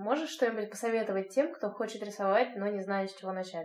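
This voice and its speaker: With a fairly high pitch and ordinary pitch variation, a woman speaks at a fairly quick pace in an unremarkable speaking voice. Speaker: podcast host. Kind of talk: casual interview. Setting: video call.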